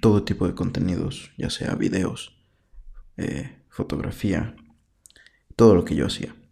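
Speaking in a central Mexican accent, a man has a dark, mellow tone. His pitch is fairly low, with ordinary pitch variation. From Mexico, Puebla. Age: 20s. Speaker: podcaster. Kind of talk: solo monologue. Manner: halting.

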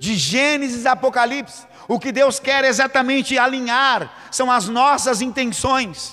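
A man's voice sits extremely high and comes out raised and projected. He talks at a fairly slow pace with hardly any pauses and fairly even intonation. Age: 40s. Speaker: pastor. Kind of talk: sermon.

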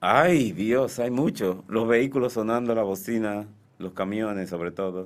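Fairly low in pitch, a man with a plain, everyday voice speaks at a fairly slow pace with ordinary pitch variation. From Dominican Republic, Santiago. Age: 60s. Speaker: painter and art teacher. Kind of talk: radio interview. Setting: radio studio.

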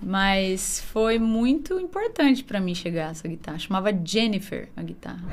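A woman of medium pitch talks at a moderate pace with lively intonation, a somewhat breathy sound, big swings in loudness and hardly any pauses. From interior of São Paulo state (Jaú, Bauru). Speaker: musician. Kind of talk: casual chat.

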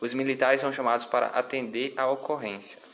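Noticeable background noise runs under a man's voice. He speaks at a medium pitch and a moderate pace. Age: 20s. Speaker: civil firefighter. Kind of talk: interview. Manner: formal.

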